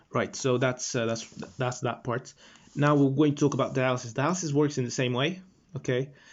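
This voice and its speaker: The man's pitch is medium and his intonation fairly even. He talks at a fairly quick pace. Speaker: medical student tutor. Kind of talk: lecture. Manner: fast; halting, many fillers.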